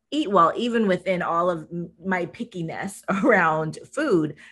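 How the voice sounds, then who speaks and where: This woman has a plain, everyday voice, pitched at a medium level with ordinary pitch variation. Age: 50s. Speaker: podcast host. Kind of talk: interview.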